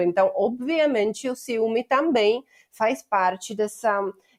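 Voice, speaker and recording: Recorded dry and close with no echo, a woman talks at a fairly slow pace with ordinary pitch variation. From Czech Republic. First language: Czech (speaking Portuguese). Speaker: evolutionary anthropologist, professor. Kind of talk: interview.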